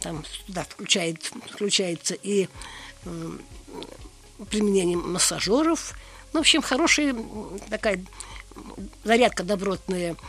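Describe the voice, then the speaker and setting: Over noticeable background noise, a woman at medium pitch speaks at a very slow pace with big swings in loudness and long, frequent pauses. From Tatarstan, Russia (grew up on the Kama). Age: 80s+. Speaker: retired geologist. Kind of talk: casual interview.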